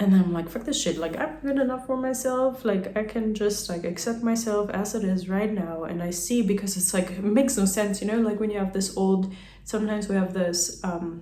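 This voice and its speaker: A woman speaks in a German accent with ordinary pitch variation. Noticeable background noise and audible room echo are present. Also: medium pitch for a woman, fairly quick pace. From German-speaking country. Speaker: vlogger. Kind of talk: casual monologue. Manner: rambling casual with many fillers.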